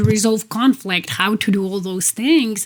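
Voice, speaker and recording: Speaking fairly slowly in a Polish accent, a woman keeps a medium pitch and fairly even intonation. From Poland. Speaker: executive coach. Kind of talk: interview.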